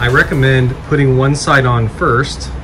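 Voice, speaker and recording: Clear music plays in the background behind a man's voice. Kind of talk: tutorial. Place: garage. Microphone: phone near.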